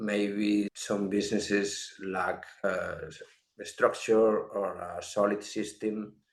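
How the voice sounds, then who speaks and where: A man's fairly low voice, with audible room echo around it. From Spain, Galicia. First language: non-English, English is third language. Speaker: productivity software consultant. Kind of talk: interview.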